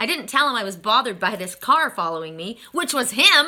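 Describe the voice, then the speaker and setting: The speaker talks at a very fast pace in an animated tone. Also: woman. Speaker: tarot card reader. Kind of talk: casual storytelling.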